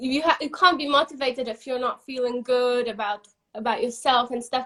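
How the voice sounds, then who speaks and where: At a fairly quick pace, a woman speaks in a high pitch with fairly even intonation. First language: not English. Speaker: interviewer for a company. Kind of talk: casual interview on live stream. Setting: Instagram live video.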